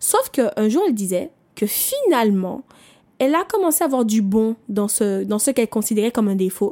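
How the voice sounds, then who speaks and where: A woman speaks at a moderate pace with very even loudness and lively intonation. Her pitch is fairly high, and her tone is dark and mellow. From Martinique. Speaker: personal development podcaster. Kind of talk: motivational monologue. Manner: conversational, with fillers.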